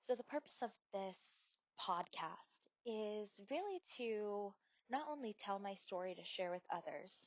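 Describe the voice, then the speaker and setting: This woman has an unremarkable speaking voice, fairly high in pitch with ordinary variation, and she talks at a fairly slow pace in an American accent. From US Northeast, Wilkes-Barre, Pennsylvania. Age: 30s. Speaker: podcast host. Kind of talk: personal storytelling podcast. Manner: casual with fillers and restarts.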